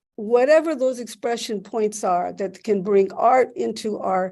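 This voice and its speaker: Over a quiet background, a woman's fairly high-pitched voice carries a dark, mellow tone. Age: 70s. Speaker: professor and event moderator. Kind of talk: public talk introduction at book event. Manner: halting, many restarts.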